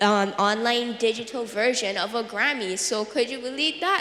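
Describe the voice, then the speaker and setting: A woman's voice sits high in pitch. Audible room echo and noticeable background noise surround it. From Barbados. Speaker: youth advocate. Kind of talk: panel discussion. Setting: stage with audience. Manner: chatty.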